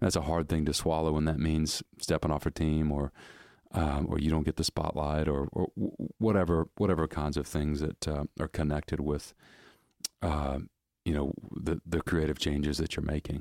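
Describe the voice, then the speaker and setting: In a very clean recording with a silent background, the speaker uses an American accent and a monotone, flat intonation, the sound dry and close with no echo and the loudness very even. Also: man, very deep, low pitch for a man, moderate pace. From US South, rural Georgia. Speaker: church content pastor. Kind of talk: interview conversation.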